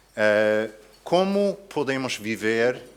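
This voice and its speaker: In an English accent, a man talks at a very slow pace. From USA. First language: English (speaking Portuguese). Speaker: philosophy professor. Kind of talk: lecture. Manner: halting, with fillers and self-corrections.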